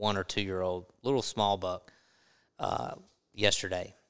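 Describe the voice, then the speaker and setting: A man with a Southern US accent talks at a moderate pace and fairly low pitch. The recording is very clean, the background silent. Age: 40s. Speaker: podcast host. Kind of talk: casual chat. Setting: hunting lodge.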